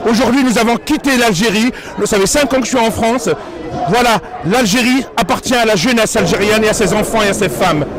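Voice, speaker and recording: Over crowd noise in the background, a man with a high voice talks at a fairly quick pace, with very even loudness and ordinary pitch variation. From Algeria. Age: 30s. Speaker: protester. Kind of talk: street interview.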